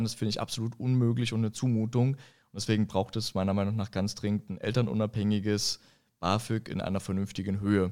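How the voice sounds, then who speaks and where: On a very clean recording with a silent background, a man speaks fairly quickly in a monotone, flat intonation. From eastern Germany, Görlitz (Upper Lusatia, Saxony). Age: 40s. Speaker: political candidate. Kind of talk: interview discussion.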